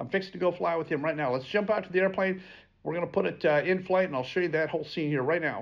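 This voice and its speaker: A man speaks with a high pitch and ordinary pitch variation. The background is quiet. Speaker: flight instructor. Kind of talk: tutorial. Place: meeting room.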